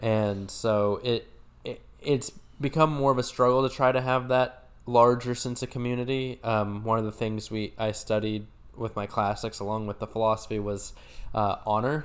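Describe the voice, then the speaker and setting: In a plain, everyday voice, the speaker talks at a moderate pace with fairly even intonation. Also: man, medium pitch for a man. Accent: American. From rural Oklahoma. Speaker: podcast co-host. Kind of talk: casual chat.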